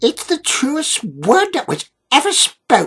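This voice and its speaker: Doing a put-on character voice, a man speaks at an extremely high pitch. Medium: read story.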